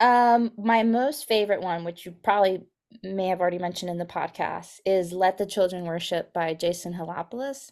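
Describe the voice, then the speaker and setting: A woman with an American accent has an unremarkable speaking voice and a medium pitch. She talks at a fairly quick pace with ordinary pitch variation. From Texas, Guatemala, Arizona and Mexico. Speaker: children's ministry director. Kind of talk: podcast interview.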